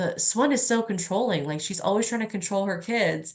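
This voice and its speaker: A woman with an American accent talks at a fairly quick pace. She has a normal speaking voice with ordinary pitch variation. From New Orleans, Louisiana (US South). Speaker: novelist. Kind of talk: book discussion Q&A. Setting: video call. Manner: casual, many fillers and restarts.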